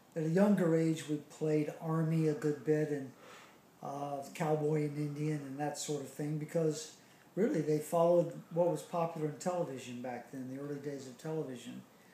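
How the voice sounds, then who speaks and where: A man with an American accent and fairly high pitch talks at a moderate pace, with ordinary pitch variation, big swings in loudness and audible room echo. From US South, Charleston, South Carolina. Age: 60s. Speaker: interviewee recalling childhood. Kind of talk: oral history interview. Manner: hesitant, many fillers.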